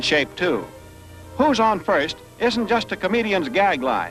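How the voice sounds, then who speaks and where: A man talks at a moderate pace while music plays in the background. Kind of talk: newsreel narration.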